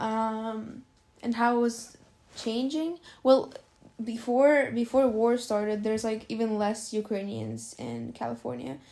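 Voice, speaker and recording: Her tone dark and mellow, a woman speaks fairly slowly at a fairly high pitch with ordinary pitch variation. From Ukraine, Dnipro. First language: Russian. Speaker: immigrant interviewee. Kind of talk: casual interview. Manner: hesitant, filler-heavy.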